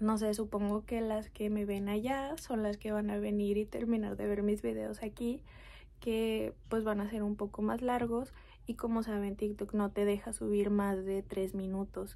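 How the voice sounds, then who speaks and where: Soft-spoken and at a medium pitch, a woman talks at a fairly slow pace with a dark, mellow tone. Her intonation is monotone and flat, and her loudness stays very even. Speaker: mom vlogger. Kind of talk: casual talk to camera, personal storytime.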